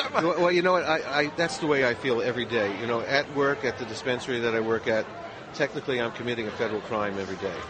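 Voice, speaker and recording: A man's medium-pitched voice at a very fast pace, with crowd noise behind him and audible room echo. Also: ordinary pitch variation. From Los Angeles, California. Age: 60s. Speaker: radio host and dispensary worker. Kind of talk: interview. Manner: halting.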